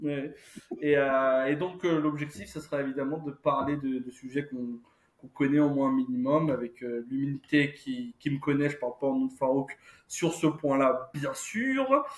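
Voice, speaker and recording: A man speaks at a fairly high pitch and a fairly slow pace. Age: 30s. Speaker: podcast co-host. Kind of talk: casual chat. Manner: halting, many fillers.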